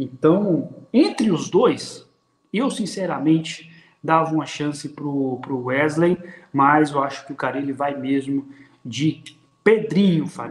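Audible room echo surrounds this man's voice. He talks very slowly, with a fairly high pitch. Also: ordinary pitch variation. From Brazil. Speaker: football tactics commentator. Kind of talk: casual football talk livestream. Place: home room. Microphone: webcam.

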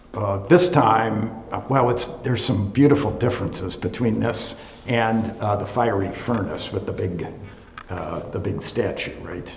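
In a room with audible echo, a man talks at a moderate pace with ordinary pitch variation. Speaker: associate pastor. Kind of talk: bible study teaching and prayer. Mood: relaxed, good-humored. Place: classroom. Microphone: webcam.

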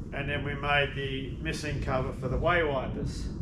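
Noticeable background noise accompanies a man who speaks fairly slowly. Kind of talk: tutorial. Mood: relaxed, good-humoured. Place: workshop. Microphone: camera far.

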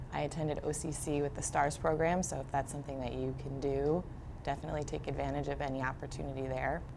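Words come from a woman at a very fast pace. Behind her voice there is noticeable background noise. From New Jersey, Brick Township; New Jersey. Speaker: high school math teacher. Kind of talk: interview monologue. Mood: warm, reflective. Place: studio.

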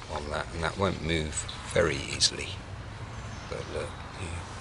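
Noticeable background noise under a man speaking at a moderate pace. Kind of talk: tutorial. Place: forest. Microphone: camera far.

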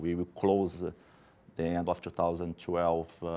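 A man with a Portuguese accent speaks at a very deep, low pitch. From Brazil. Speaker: pension fund investment officer. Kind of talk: panel discussion; panel discussion answer. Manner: halting. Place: studio.

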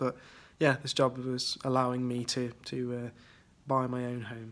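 A man speaks with a West Midlands accent. His pace is moderate. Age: 20s. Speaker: CAD technician. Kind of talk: interview answers. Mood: relaxed, friendly. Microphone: phone near.

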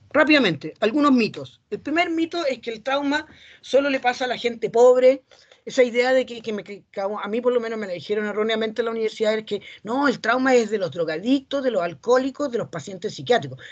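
The background is quiet. A man talks at a fairly quick pace. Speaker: psychologist, seminar speaker; speaker. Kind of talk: lecture. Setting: academic seminar. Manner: fast. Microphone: webcam.

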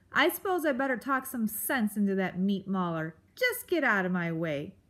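Growling in a put-on character voice, a woman speaks at a moderate pace and a medium pitch in a very clean recording with a silent background. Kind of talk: gruff, dismissive. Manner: snarling, growling.

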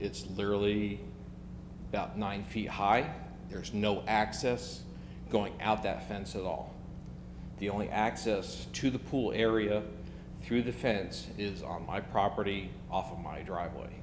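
Amid noticeable background noise, a man with vocal fry and a fairly low pitch talks at a fairly slow pace, his pitch swinging very widely and his speech broken by long, frequent pauses. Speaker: homeowner applicant. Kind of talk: public hearing testimony. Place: hall. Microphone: podium.

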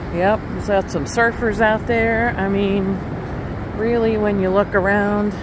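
Noticeable background noise fills the recording. A woman speaks at a fairly slow pace over it. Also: dry sound with no echo. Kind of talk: casual vlog chat. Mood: relaxed, a bit rueful. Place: beach. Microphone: phone near.

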